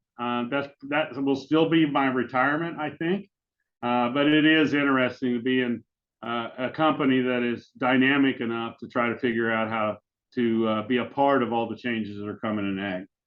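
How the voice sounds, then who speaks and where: A man's medium-pitched voice with an American accent, ordinary pitch variation, and a moderate pace. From western Kansas, US. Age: 60s. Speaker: agribusiness executive. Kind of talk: interview. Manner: hesitant, many fillers.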